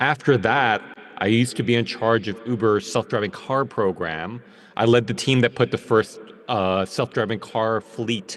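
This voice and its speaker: A man with an American accent speaks at a moderate pace and a medium pitch. He has a normal speaking voice. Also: ordinary pitch variation. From New York, US. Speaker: technology executive. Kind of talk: panel talk. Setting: video call.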